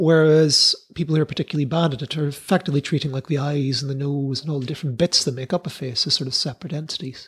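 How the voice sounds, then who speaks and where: Hardly pausing, a man speaks very fast in a fairly high, somewhat breathy voice, captured in a very clean recording with a silent background. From UK. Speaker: comedy science podcast host. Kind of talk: casual chat. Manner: animated.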